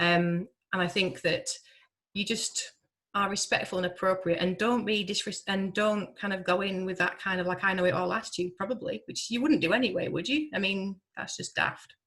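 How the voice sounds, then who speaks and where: A woman with a Yorkshire accent, medium pitch, ordinary pitch variation and a moderate pace. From Yorkshire, northern England. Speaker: hospital pharmacist. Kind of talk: webinar Q&A answer.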